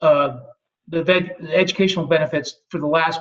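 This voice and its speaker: Fairly even in intonation, a man speaks at a fairly high pitch. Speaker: university veterans services staff. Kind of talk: webinar presentation. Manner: fast.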